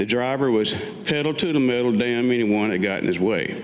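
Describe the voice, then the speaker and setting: A man's medium-pitched voice with an American accent, lively intonation, a moderate pace and noticeable background noise. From Western North Carolina. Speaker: Vietnam war veteran. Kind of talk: staged reading of own memoir. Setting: live stage.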